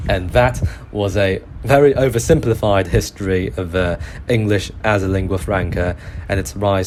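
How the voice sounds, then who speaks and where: A man with a British accent and a very deep, low pitch at a moderate pace, with ordinary pitch variation and noticeable background noise. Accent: British accent, self-described. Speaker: podcast host. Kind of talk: podcast monologue on history. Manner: halting, many fillers and restarts.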